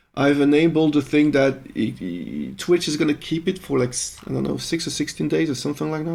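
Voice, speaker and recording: A man speaks fairly quickly with a French accent. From Belgium (French-speaking). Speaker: musician live-streaming composition. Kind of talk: live stream chat. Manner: casual, swearing, hesitant.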